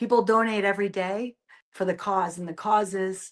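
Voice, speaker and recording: A woman with a Boston accent at medium pitch, monotone and flat, moderate pace. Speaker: nurse, hospice outreach director. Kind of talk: interview. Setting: video podcast.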